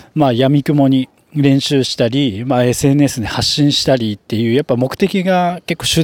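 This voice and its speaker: A normal speaking voice from a man, medium in pitch with ordinary pitch variation, the sound dry and close with no echo. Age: 30s. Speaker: hairdresser and salon manager. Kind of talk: solo podcast monologue. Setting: at work in the salon. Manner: casual with frequent fillers.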